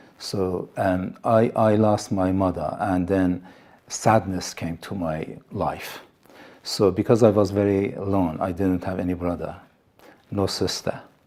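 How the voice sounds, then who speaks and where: Speaking at a fairly slow pace, a man with a very deep, low pitch and a dark, mellow tone keeps a monotone, flat intonation. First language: Assyrian (Neo-Aramaic). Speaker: pastor. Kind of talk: testimony. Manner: halting, with fillers and repetitions.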